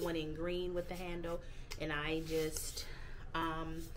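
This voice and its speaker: With music in the background, a woman talks at a fairly slow pace. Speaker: lifestyle vlogger. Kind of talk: casual vlog chat. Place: home room. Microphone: phone near.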